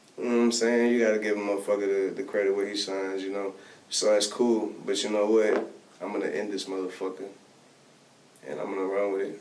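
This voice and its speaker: The speaker has an American accent and flat, monotone intonation at a very fast pace with long, frequent pauses. Noticeable background noise and audible room echo are present. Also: man, fairly low pitch for a man. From Texas, Bay City. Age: 20s. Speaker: rapper. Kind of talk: casual interview chat.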